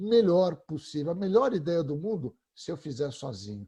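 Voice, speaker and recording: The man has a dark, mellow tone and sounds somewhat breathy. His intonation is lively and his pace is moderate. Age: 60s. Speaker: creativity expert. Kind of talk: panel discussion.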